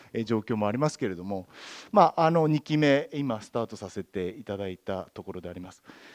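In a plain, everyday voice, a man with a fairly low pitch speaks at a fairly quick pace with lively intonation and big swings in loudness over a quiet background. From Obihiro, Hokkaido, Japan; Hokkaido, Japan. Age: 50s. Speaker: town mayor. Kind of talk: panel discussion. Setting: stage with audience. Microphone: handheld.

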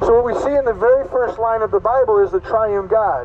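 A man's high-pitched voice with ordinary pitch variation over light background noise. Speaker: pastor preaching. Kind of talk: sermon. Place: street. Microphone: headset.

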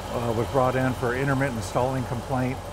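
A man is heard with noticeable background noise. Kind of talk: tutorial. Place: workshop. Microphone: phone near.

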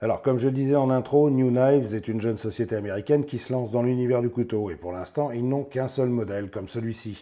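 A man speaks at a medium pitch with a dark, mellow tone.

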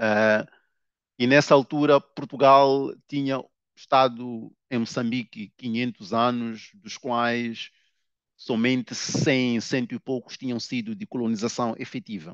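A man speaks at a medium pitch and a very slow pace, his intonation fairly even and his loudness swinging widely, in a dry recording with no echo over a quiet background. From Mozambique. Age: 30s. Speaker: novelist; guest. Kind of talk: interview. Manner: hesitant, many filler sounds. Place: office. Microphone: headset.

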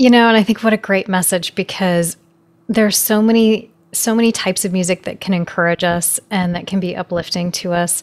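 The speech runs at a fairly quick pace with fairly even intonation. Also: woman, medium pitch for a woman. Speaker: podcast host and piano teacher; podcast host, piano teacher. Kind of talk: casual interview. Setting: remote call. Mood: warm, encouraging. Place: home room. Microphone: studio mic.

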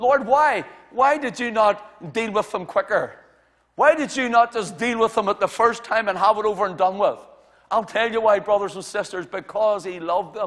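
A man speaks in a bright, sharp tone at a high pitch. His pace is moderate, with ordinary pitch variation. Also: quiet background. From Northern Ireland. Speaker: pastor. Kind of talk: sermon. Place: church.

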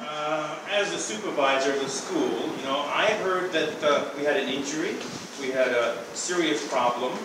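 Amid loud background noise and audible room echo, a man talks at a moderate pace with ordinary pitch variation. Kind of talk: improvised comedy dialogue. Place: hall. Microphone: camera far.

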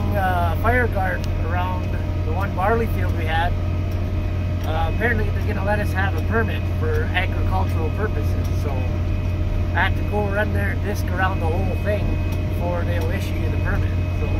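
A man holds a moderate pace through loud background noise. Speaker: farmer vlogger. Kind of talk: casual vlog chat. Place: farm machine. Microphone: phone near.

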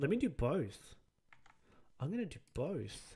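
At a fairly slow pace, a man speaks in a dark, mellow, somewhat breathy tone with very wide pitch swings. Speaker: streamer. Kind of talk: live stream reaction commentary. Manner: rambling, easily derailed. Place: home room. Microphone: studio mic.

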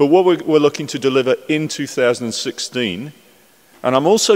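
The pace here is fairly quick. It belongs to a man talking. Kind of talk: conference speech. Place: hall. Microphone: podium.

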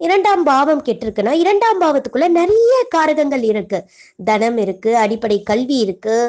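Her high-pitched voice makes very wide pitch swings. The woman keeps her loudness very even. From Tamil Nadu, Coimbatore. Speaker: astrologer, debate judge. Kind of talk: lecture.

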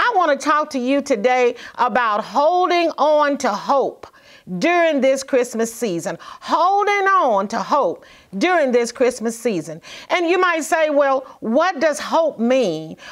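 Over a quiet background, a woman speaks at a high pitch and a fairly slow pace. Her pitch swings very widely. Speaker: minister. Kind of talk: sermon. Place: studio.

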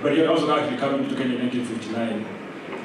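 The voice comes at a moderate pace through strong room echo and noticeable background noise. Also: man. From Kenya. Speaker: writer and literary scholar. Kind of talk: public panel conversation. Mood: relaxed, conversational. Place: hall.

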